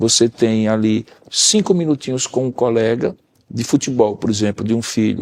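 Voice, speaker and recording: Recorded with a dry, close sound and no echo, a man speaks in an unremarkable speaking voice at medium pitch, with ordinary pitch variation and a moderate pace. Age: 60s. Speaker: pastor and counselor.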